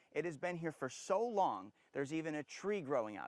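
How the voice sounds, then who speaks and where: A normal speaking voice from a man at a fairly high pitch, with lively intonation and a moderate pace. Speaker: TV news reporter. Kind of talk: TV news field report. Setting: outdoors.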